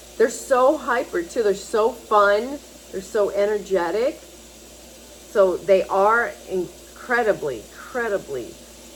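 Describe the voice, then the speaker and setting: A woman speaks very slowly while noticeable background noise carries on around her. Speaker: animal rescue advocate vlogger. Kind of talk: casual monologue promoting pet adoption. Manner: animated, pleading.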